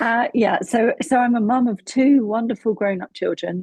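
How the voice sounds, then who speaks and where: A woman with a British accent talks at a fairly slow pace. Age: 50s. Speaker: psychotherapist. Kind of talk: interview podcast. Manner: calm.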